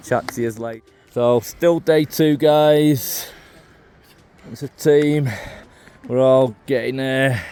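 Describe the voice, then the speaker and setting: Speaking with a Mancunian accent at a very slow pace, a man uses a medium pitch, a dark, mellow tone and fairly even intonation, with long, frequent pauses. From northern England, Manchester. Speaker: travel vlogger. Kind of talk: casual vlog commentary. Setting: outdoors on a hiking trail.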